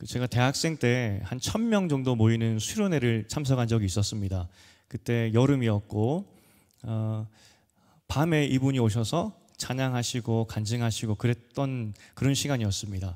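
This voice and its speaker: A man's medium-pitched voice at a fairly slow pace with ordinary pitch variation, on a very clean recording against a silent background. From Busan, South Korea. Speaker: pastor. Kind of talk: sermon. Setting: church.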